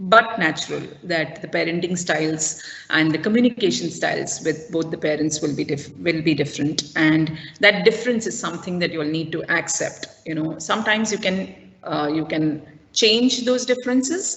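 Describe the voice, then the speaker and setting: Noticeable background noise sits behind a woman's fairly low voice. She talks at a moderate pace with lively intonation. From South India. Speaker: school parenting workshop presenter. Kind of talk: online parent workshop talk. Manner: hesitant, many fillers.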